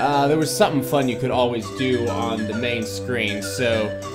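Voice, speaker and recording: Loud music plays in the background as the voice moves at a moderate pace with ordinary pitch variation. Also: man. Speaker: gaming video host. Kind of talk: casual let's play intro chat.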